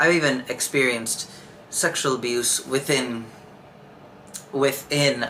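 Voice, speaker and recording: A man is speaking. Noticeable background noise is heard. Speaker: podcast host. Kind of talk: personal monologue. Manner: monotone, nonchalant; halting, repeats words.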